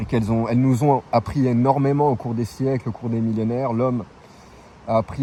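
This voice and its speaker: A man at medium pitch, talking at a very fast pace with fairly even intonation. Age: 40s. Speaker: travelling vlogger. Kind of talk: opinion monologue. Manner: casual, hesitant with repetitions.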